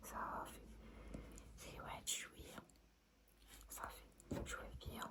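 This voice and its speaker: A woman whispers in a gentle tone. Noticeable background noise sits behind her. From Morocco. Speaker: ASMR creator. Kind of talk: ASMR roleplay, friendly makeup artist talking to the viewer. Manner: soft, gentle, intimate.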